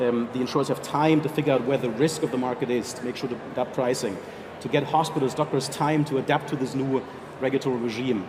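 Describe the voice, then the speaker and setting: At a very fast pace, a man with a strong German accent speaks at a medium pitch with fairly even intonation over noticeable background noise. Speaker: health insurance executive. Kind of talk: panel interview.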